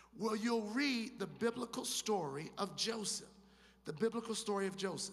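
At a moderate pace, a man speaks in a high pitch. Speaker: pastor. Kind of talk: sermon. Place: stage. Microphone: studio mic.

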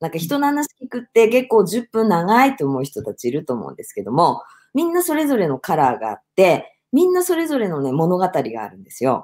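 A woman speaks at a fairly quick pace with hardly any pauses. Her medium-pitched voice swings very widely in pitch against a quiet background. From Hokkaido, Japan. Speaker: business producer and speech contest finalist; guest. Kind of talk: interview. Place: home room.

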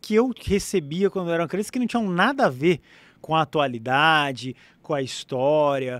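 This very clean recording of a man has a silent background and a dry, close sound with no echo. His pitch swings very widely. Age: 40s. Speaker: podcast host. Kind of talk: casual interview chat. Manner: animated.

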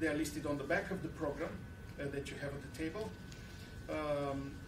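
A man talks with noticeable background noise behind him. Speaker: university program director and event moderator. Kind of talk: event moderation and introductions. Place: classroom. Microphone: podium.

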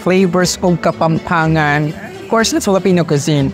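A man speaks with clear music in the background. The sound is dry, with no echo. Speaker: food vlogger. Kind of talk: vlog outro to camera. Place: cafe.

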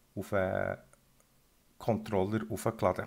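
A man speaks at a very slow pace with a Swiss accent, in a very clean recording against a silent background. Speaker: electronics hobbyist / shop presenter. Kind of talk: tutorial. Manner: casual.

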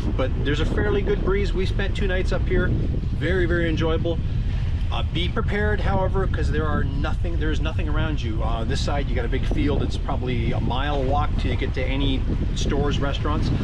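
Loud background noise surrounds a man's voice. He speaks at a fairly quick pace. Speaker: boater vlogger. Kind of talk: casual vlog chat. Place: boat. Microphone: phone near.

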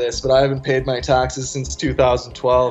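A man with a medium-pitched voice can be heard over noticeable background noise. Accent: strong Canadian. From Ottawa, Canada; lives in Victoria, BC. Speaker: radio call-in guest. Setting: phone.

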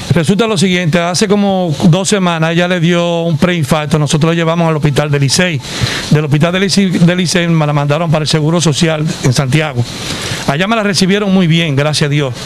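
The pace is fairly quick. Light background noise can be heard. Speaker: patient's relative. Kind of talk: interview answer. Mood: concerned, earnest. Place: street. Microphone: handheld.

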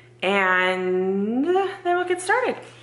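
A woman's bright, sharp tone, with audible room echo. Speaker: home cleaning vlogger. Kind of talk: casual vlog chat. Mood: sheepish, confessional. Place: kitchen. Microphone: phone near.

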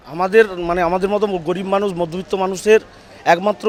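Amid noticeable background noise, a man speaks in a high pitch with fairly even intonation. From Medinipur, West Bengal. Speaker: patient's relative. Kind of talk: street interview.

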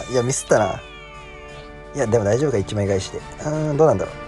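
A man talks at a very fast pace yet with long, frequent pauses. Music plays behind him. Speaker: game streamer. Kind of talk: casual gameplay commentary. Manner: quiet, whispered.

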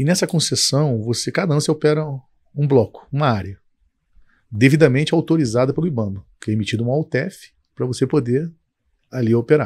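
Against a quiet background, a man with a fairly high, somewhat breathy voice talks at a fairly quick pace with ordinary pitch variation, broken by long, frequent pauses. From Brazil, Petrópolis (Rio de Janeiro state); Rio de Janeiro state, Brazil. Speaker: company founder, engineer; guest. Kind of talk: interview. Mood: calm, reflective storytelling. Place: studio. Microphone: studio mic.

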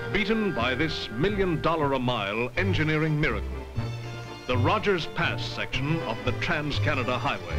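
A man's medium-pitched voice at a moderate pace, pitch swinging very widely, with clear music in the background. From Canada. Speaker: voice-over narrator. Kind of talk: TV commercial read. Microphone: old recording.

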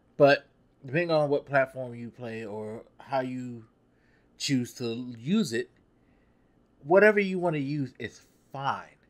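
In a very clean recording with a silent background, a man of medium pitch speaks in an animated tone at a fairly slow pace with ordinary pitch variation. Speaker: gaming YouTuber. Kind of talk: angry rant. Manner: exasperated, profane, emphatic; animated, casual street slang.

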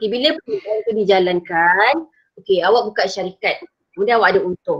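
A woman speaks with a fairly high pitch and ordinary pitch variation at a fairly quick pace. Hers is a plain, everyday voice against a quiet background. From Malaysia. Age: 40s. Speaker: secondary school teacher. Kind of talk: online lesson. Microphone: video call.

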